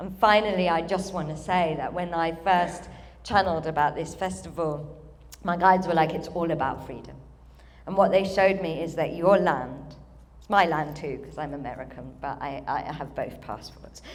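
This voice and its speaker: A woman with a British accent, with big swings in loudness. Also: fairly low pitch for a woman, ordinary pitch variation, moderate pace. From UK. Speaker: spiritual channeler, event speaker. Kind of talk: ceremony speech, channeled address. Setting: stage with audience.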